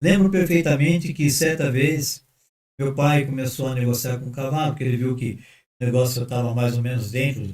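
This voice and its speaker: Somewhat breathy and medium-pitched, a man speaks at a moderate pace with ordinary pitch variation. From Brazil, Sorocaba (São Paulo state). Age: 70s. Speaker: pastor. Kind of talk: casual chat.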